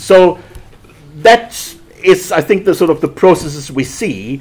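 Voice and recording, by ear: Slow delivery with lively intonation, a slightly husky edge and a slightly mellow tone. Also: man, fairly high pitch for a man.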